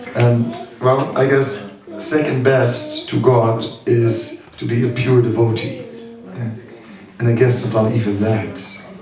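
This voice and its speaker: Over noticeable background noise and audible room echo, a man speaks very slowly at a medium pitch, monotone and flat, with long, frequent pauses. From Netherlands. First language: Dutch. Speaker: spiritual teacher. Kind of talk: seminar talk. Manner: halting, many fillers.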